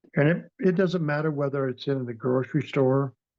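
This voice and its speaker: This is a man speaking. His pace is moderate. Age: 60s. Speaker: near-death experiencer. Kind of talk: interview testimony. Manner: halting.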